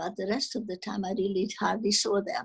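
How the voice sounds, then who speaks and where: Speaking with a Hungarian accent, a woman uses a somewhat breathy voice of medium pitch at a moderate pace. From Czechoslovakia (Munkács, now Ukraine). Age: 80s+. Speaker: Holocaust survivor. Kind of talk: testimony. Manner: halting.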